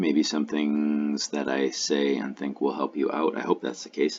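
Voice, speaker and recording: A man speaks with a very deep, low voice. His pace is fairly slow. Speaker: LSAT tutor. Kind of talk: tutorial. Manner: halting; mumbling.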